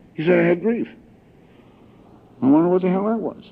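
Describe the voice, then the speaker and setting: A man talks at a very fast pace. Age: 60s. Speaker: recovering alcoholic speaker. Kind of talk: recovery meeting talk. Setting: convention stage with audience. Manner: animated.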